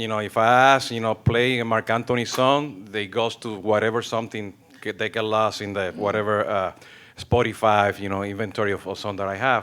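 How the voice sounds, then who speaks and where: A man with a Spanish accent speaks at a fairly quick pace, his fairly low pitch held in monotone, flat intonation. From Mexico. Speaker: audience member asking a question. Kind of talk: audience question at panel. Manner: halting.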